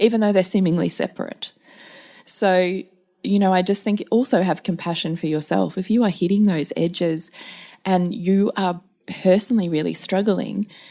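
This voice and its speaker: A woman speaks with an Australian accent at a medium pitch and a moderate pace. Her tone is dark and mellow, with fairly even intonation. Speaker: parenting podcast co-host. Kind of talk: casual podcast chat.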